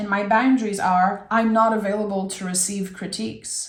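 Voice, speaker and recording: A woman talks with a French accent at a moderate pace. Her voice is fairly high-pitched and somewhat breathy. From France. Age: 30s. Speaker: tarot reader. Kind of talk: tarot reading; casual chat.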